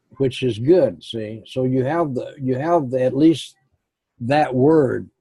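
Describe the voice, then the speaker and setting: A man speaks at a very slow pace in a somewhat breathy, medium-pitched voice. His tone is dark and mellow, with ordinary pitch variation. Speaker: Spanish language teacher. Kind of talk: one-on-one language lesson.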